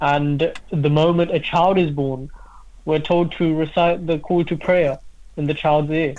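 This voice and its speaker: A man speaks at a fairly slow pace with a fairly high pitch. His intonation is monotone and flat. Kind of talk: religious discussion on radio.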